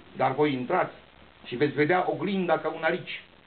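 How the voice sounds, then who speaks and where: A man speaks at a moderate pace, and his pitch varies in an ordinary way. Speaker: poet. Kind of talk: poetry reading. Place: hall. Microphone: camera far.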